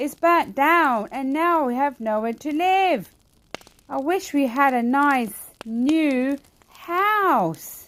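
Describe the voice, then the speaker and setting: A woman's squeaky, high-pitched, put-on character voice at a very slow pace. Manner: sad, wishful.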